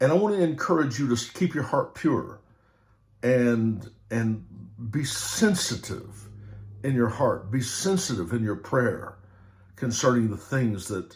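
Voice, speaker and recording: At a fairly slow pace, a man speaks at a medium pitch with lively intonation and long, frequent pauses. His voice is somewhat breathy, and audible room echo surrounds it. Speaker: preacher. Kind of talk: sermon. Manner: animated.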